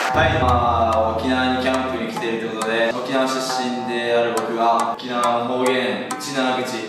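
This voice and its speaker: A man speaks at a moderate pace. There is strong room echo and noticeable background noise. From Okinawa, Japan. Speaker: professional footballer. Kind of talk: casual dialect lesson to teammates. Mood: relaxed, playful. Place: meeting room. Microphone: camera far.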